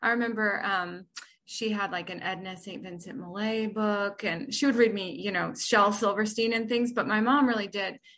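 With fairly even intonation, a woman speaks in an unremarkable speaking voice pitched fairly high. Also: moderate pace. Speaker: poet. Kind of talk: interview with poem readings.

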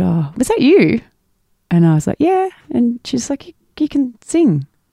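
Here a woman speaks with an Australian accent at a moderate pace. Her tone is dark and mellow. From Australia, mid-north coast of New South Wales. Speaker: musician. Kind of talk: casual chat.

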